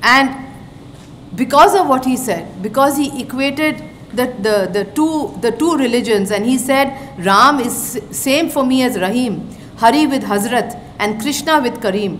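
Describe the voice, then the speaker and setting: Over light background noise, a woman talks at a fairly slow pace in a high pitch. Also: lively intonation. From eastern India. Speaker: retired diplomat, guest lecturer; guest lecturer. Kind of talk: lecture. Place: hall. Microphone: podium.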